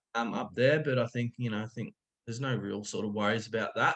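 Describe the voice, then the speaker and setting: Here a man speaks in an Australian accent at medium pitch. He goes at a fairly quick pace with ordinary pitch variation. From far north Queensland, Australia. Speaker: cricketer. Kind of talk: casual chat.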